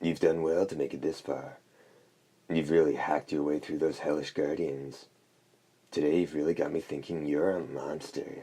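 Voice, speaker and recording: Putting on a character voice, a man speaks at a moderate pace in a croaky, hoarse, very deep, low voice with monotone, flat intonation. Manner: reflective, grudgingly praising.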